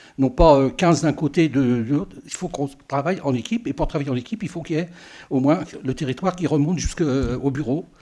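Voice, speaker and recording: On a very clean recording with a silent background, a man with a dark, mellow tone talks at a very fast pace, his pitch fairly high with ordinary pitch variation. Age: 80s+. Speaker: local councillor. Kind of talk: farewell speech at council meeting. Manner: halting, many hesitations.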